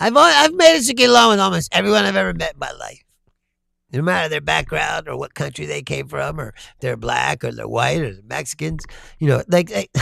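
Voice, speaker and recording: On a very clean recording with a silent background, a man speaks at a fairly quick pace. His loudness swings a lot. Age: 50s. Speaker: political livestream host. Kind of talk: casual livestream chat reading viewer comments. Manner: casual, rambling with frequent repetitions.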